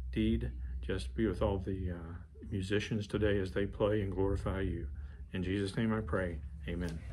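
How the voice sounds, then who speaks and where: A man speaks with a very deep, low pitch, vocal fry and lively intonation. He moves at a moderate pace over light background noise. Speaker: church member leading prayer. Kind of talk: prayer. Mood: calm, reverent prayer. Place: office. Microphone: studio mic.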